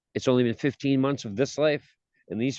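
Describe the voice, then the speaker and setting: With a Boston accent, a man speaks at medium pitch with ordinary pitch variation, in a dry, close sound with no echo. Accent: Boston-area New England. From Massachusetts (Gloucester). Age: 40s. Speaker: recovering addict. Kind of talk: interview testimony. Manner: animated.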